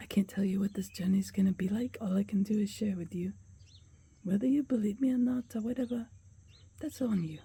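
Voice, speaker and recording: With a dark, mellow tone that is somewhat breathy, this voice moves through long, frequent pauses with ordinary pitch variation. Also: woman, medium pitch for a woman, fairly quick pace. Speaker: vlogger. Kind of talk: casual vlog talk. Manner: halting.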